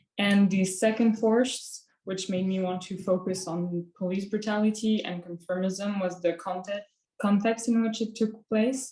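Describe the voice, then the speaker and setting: Her voice has a dark, mellow tone, medium pitch and some breathiness as this woman with a French accent speaks at a fairly slow pace, with fairly even intonation and hardly any pauses. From France. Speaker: student painter. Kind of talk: presentation of artwork. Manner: hesitant, many fillers.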